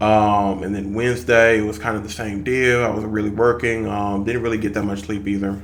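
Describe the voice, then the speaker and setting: Over audible room echo, a man talks in a fairly low voice with fairly even intonation. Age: 30s. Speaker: fitness vlogger. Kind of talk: casual vlog monologue. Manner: hesitant, many fillers.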